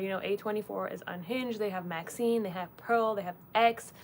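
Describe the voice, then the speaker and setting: Talking at a fairly quick pace, a woman of medium pitch keeps her intonation fairly even. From Leeds, Yorkshire, England. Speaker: film interviewer and content creator. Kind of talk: casual livestream Q&A. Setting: livestream. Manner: fast and chatty.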